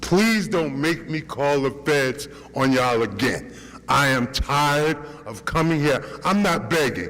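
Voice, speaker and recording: Fairly high male speech at a fairly slow pace, amid audible room echo and noticeable background noise. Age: 60s. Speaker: tenant speaking at public comment. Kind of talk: public comment at council meeting. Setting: city council meeting. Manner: animated.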